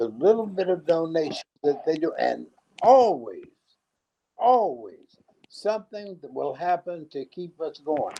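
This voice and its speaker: With an American accent, a man speaks at a fairly slow pace in a high pitch. His tone is dark and mellow, and his loudness swings widely. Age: 80s+. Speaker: former activist, community center founder. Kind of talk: interview. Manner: animated; halting.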